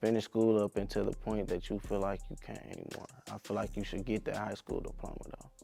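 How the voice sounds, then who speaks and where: At a fairly quick pace, a man talks with music in the background. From Detroit, Michigan (West Side). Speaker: rapper. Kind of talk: interview answers. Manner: casual, hesitant with fillers.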